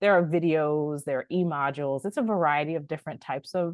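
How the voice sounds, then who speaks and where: With lively intonation and a very deep, low pitch, a woman speaks against a quiet background. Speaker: adult ESOL educator presenting resources. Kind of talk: online presentation, tutorial.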